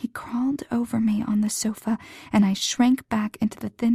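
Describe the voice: Fairly even intonation in plain reading aloud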